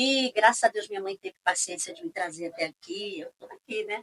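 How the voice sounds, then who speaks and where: The words come at a moderate pace from a woman. Very wide pitch swings run through her speech. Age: 60s. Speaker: pastor. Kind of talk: casual chat.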